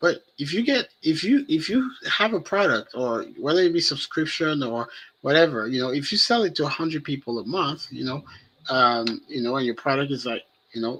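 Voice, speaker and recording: Lively in intonation and bright, sharp in tone, a man with a French accent speaks at a moderate pace and a fairly high pitch. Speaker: web developer discussing AI and business. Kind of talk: casual podcast conversation. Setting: live stream.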